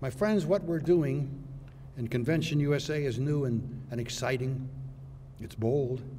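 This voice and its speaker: Audible room echo around a male voice of medium pitch, moving at a moderate pace. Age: 80s+. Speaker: retired judge. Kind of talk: symposium speech. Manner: formal.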